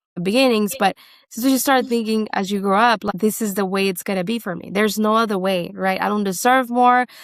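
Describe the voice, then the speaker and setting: Speaking at a fairly quick pace, a woman uses a medium pitch and fairly even intonation. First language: not English. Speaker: business owner. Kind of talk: interview.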